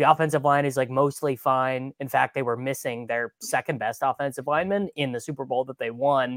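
A man with a plain, everyday voice at medium pitch, moderate pace and fairly even intonation, in a very clean, dry, close recording with a silent background and no echo. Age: 30s. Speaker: fantasy football analyst. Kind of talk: casual chat.

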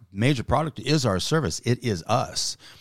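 The sound is dry and close, with no echo. A man speaks with vocal fry and very wide pitch swings. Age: 50s. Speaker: business podcast co-host and business owner. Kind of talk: casual chat.

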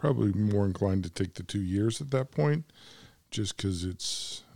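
A man with an American accent, fairly low in pitch, somewhat breathy with a dark, mellow tone, ordinary pitch variation and a moderate pace, on a very clean recording with a silent background. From United States. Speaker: podcast co-host. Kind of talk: casual chat. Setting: cigar shop.

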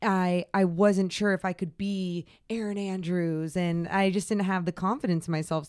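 A normal speaking voice with an American accent proceeds at a moderate pace and fairly even intonation in a very clean recording with a silent background. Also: woman. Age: 30s. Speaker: sports broadcaster. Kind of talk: casual interview.

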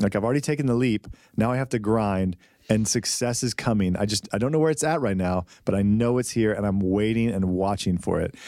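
A man with a fairly low pitch and an ordinary speaking voice, at a fairly quick pace, with very even loudness and ordinary pitch variation. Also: very clean recording, silent background. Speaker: podcast co-host. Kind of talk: casual chat. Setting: studio.

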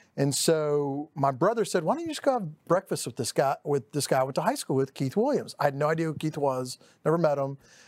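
With a Texan accent, a man speaks at a fairly quick pace and a fairly high pitch, with hardly any pauses. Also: ordinary pitch variation, very clean recording, silent background. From East Dallas, Texas. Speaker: title company director. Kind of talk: casual interview.

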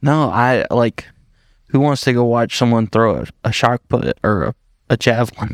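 A man with a slight Southern US accent speaks at medium pitch and a moderate pace, his intonation fairly even and the sound dry and close with no echo. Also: very clean recording, silent background. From Upstate South Carolina (Dacusville). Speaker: podcast co-host. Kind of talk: casual chat.

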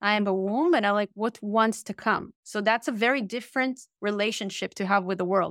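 A woman with an Israeli accent speaks at a fairly quick pace with a fairly high pitch and ordinary pitch variation. The sound is dry and close with no echo, on a very clean recording with a silent background. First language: Hebrew. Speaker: author and workshop leader. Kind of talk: interview. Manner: direct.

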